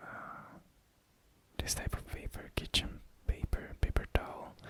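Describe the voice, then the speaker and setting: Someone speaks in a whisper. Noticeable background noise runs underneath. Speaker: ASMR creator. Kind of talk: ASMR show and tell. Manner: soft-spoken.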